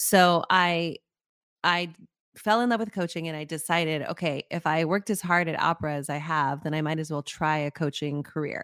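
A woman with an American accent and a normal speaking voice, fairly even intonation and a moderate pace, dry and close with no echo on a very clean recording with a silent background. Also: fairly low pitch for a woman. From New Mexico, US (Las Cruces, near the Mexican border). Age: 40s. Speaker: executive coach, former opera singer. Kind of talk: interview.

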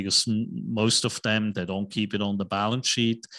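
Over a quiet background, a man with a Swiss accent speaks at a fairly low pitch in a bright, sharp tone with monotone, flat intonation. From Switzerland. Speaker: investment banker and real estate investor. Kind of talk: casual interview.

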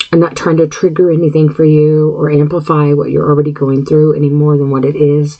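A woman's very deep, low voice at a fairly quick pace, monotone and flat, with very even loudness, hardly any pauses and noticeable background noise. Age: 50s. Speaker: podcast host. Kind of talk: solo monologue podcast. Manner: frequent throat clearing and filler words; halting.

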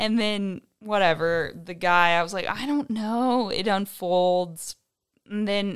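A woman speaks very slowly at medium pitch with ordinary pitch variation. The recording is very clean, with a silent background. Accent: American. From Indiana, US Midwest. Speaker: wine hospitality worker. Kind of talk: casual chat.

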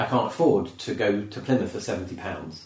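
Lively intonation from a somewhat breathy man, with audible room echo. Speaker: comedian. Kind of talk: casual chat. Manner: animated.

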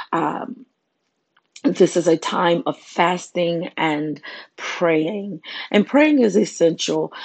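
A woman's fairly low-pitched voice. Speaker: prayer podcast host. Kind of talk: devotional talk. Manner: hesitant, many fillers.

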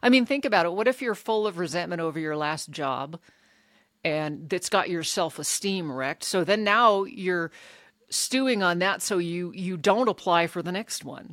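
With an ordinary speaking voice, a woman speaks at a moderate pace, her pitch fairly low and her intonation lively. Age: 50s. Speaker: recovery podcast host and coach. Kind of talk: solo podcast talk with scripture reading.

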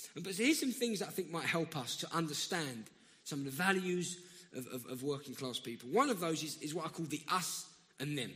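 A man with a South London accent and a fairly high pitch, with lively intonation and a fairly quick pace. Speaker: guest preacher. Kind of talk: sermon. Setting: church.

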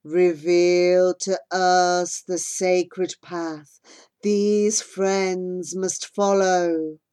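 In a put-on character voice, a woman rumbles at a medium pitch, very slowly, with monotone, flat intonation. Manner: deep, otherworldly.

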